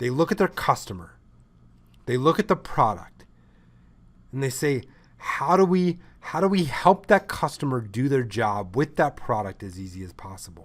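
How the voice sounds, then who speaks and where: A man speaks at a moderate pace in a medium pitch, animated in tone, with very wide pitch swings and big swings in loudness. The recording is very clean with a silent background. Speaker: ecommerce consultant. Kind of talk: lecture.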